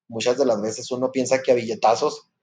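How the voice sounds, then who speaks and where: This man speaks at a medium pitch. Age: 30s. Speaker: podcast co-host. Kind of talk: casual chat. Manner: halting, many fillers.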